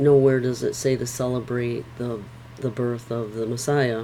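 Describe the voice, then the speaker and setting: A woman speaks very slowly in a very deep, low voice with monotone, flat intonation. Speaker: Bible reading vlogger. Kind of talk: reading aloud with discussion. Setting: home bedroom. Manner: halting.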